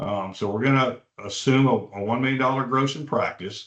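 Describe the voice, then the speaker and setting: Speaking at a medium pitch, the man shows ordinary pitch variation. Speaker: veterinary practice broker presenting a webinar. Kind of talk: webinar presentation. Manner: fast; halting, many fillers and repeats.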